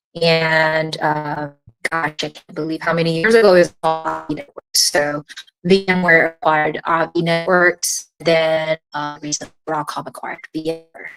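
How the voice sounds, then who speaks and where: Music plays in the background as a woman speaks at a moderate pace with a fairly low pitch. The sound is dry and close, with no echo. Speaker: tech product marketer. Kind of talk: interview.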